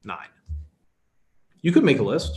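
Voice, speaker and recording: This man speaks with a Chicago accent. His voice is somewhat breathy. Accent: American, Chicago. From US, Chicago, Polish immigrant family. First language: Polish. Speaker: workshop instructor. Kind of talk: online workshop lecture. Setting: webinar.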